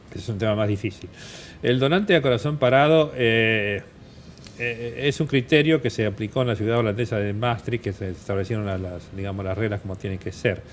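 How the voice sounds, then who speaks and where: A man talks at a fairly quick pace. His voice sits at a medium pitch. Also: ordinary pitch variation. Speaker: transplant surgeon, doctor. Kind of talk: TV interview. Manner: hesitant, many fillers.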